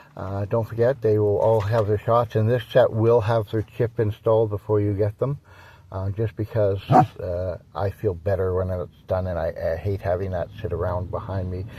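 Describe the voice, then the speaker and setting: In a very clean recording with a silent background, a man with a fairly low pitch speaks at a moderate pace, his somewhat breathy voice dark and mellow in tone, his intonation fairly even. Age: 60s. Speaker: dog breeder and vlogger. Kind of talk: casual vlog update. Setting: in a coffee shop. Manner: halting, many fillers.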